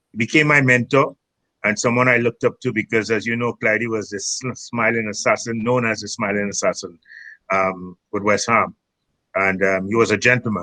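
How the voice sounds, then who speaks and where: A man with a Trinidadian accent at a medium pitch and a moderate pace. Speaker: former footballer, tournament founder. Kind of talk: podcast interview. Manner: halting, many fillers.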